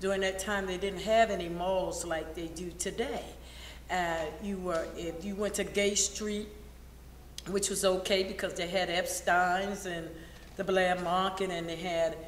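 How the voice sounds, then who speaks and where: A woman with an American accent speaks at a fairly slow pace in a medium pitch and a flat, monotone delivery, with noticeable background noise and audible room echo. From Baltimore, Maryland (US Mid-Atlantic). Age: 60s. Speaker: interviewee recalling history. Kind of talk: oral history interview.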